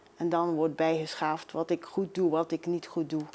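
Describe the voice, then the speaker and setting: Her pitch is fairly low for a woman. The recording is very clean, and the background is silent. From Belgium, Maldegem (East Flanders). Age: 60s. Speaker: amateur singer. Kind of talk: interview.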